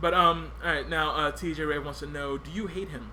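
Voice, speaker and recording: Audible room echo surrounds a man who speaks fairly quickly. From US, Puerto Rican family. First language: Spanish. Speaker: podcast host. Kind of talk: casual chat.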